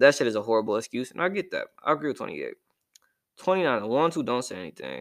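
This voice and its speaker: Over a very clean recording with a silent background, a man speaks at a very fast pace in an animated tone, his loudness swinging widely. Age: young. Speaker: podcast host. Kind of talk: casual monologue.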